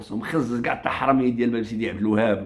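An animated man at medium pitch, talking at a fairly quick pace against a quiet background. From Morocco. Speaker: online commentator; commentator. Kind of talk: political rant on a live stream. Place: home room. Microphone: phone near.

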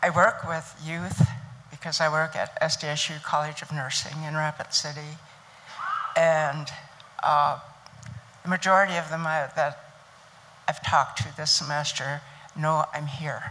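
Bright and sharp in tone, a woman's very deep, low voice moves at a fairly slow pace with monotone, flat intonation and long, frequent pauses. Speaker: nursing educator. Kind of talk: panel talk at a conference. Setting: stage with audience. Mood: calm, encouraging. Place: hall. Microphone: handheld.

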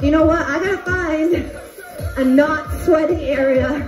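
A woman's extremely high voice at a very slow pace, over clear background music. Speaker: fitness instructor. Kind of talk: workout cueing. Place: home room. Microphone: camera far.

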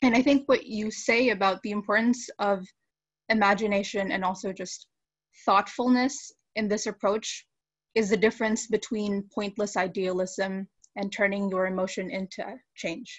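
The voice is somewhat breathy, with fairly even intonation and a moderate pace. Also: woman, medium pitch for a woman. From Philippines. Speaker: biology student. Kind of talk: live panel discussion.

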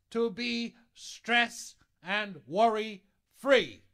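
Speaking very slowly, a man uses a raised, projected voice that is extremely high-pitched, with a bright, sharp tone. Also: quiet background. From Bahamas. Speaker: pastor. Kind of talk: sermon. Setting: church. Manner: animated. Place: church.

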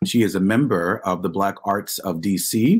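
Against a quiet background, a man talks in a fairly low-pitched voice. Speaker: professor and panel moderator; professor, panel moderator. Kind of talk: panel moderation. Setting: video call. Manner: hesitant, many filler words. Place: home room. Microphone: webcam.

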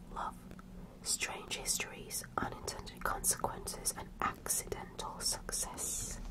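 Whispering at a fairly slow pace against noticeable background noise. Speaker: ASMR creator. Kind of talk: casual chatty talk to camera about podcasts. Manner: whispered, slow, soft-spoken.

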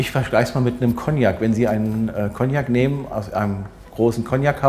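Ordinary pitch variation shapes the way this man talks. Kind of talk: explanatory interview talk. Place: shop. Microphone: lapel.

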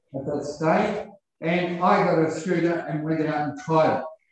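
Amid strong room echo and light background noise, a man speaks at a moderate pace with fairly even intonation. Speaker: member of the public addressing council. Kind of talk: public submission speech. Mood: earnest, complaining. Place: meeting room.

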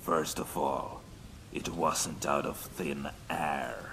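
A cartoonish character voice speaks at a very slow pace in a smug tone. Clear background noise can be heard. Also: man. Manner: smug, dry, taunting.

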